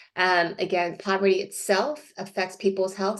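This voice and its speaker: A woman speaks at a medium pitch with a monotone, flat intonation. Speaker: sociologist, invited expert speaker. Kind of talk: online presentation. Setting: video call from home. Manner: fast; hesitant, many fillers.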